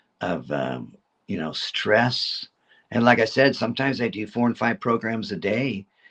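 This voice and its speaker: A man talks at a medium pitch and a moderate pace. His intonation is lively, with vocal fry. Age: 70s. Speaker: reptile educator. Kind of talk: casual chat. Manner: halting.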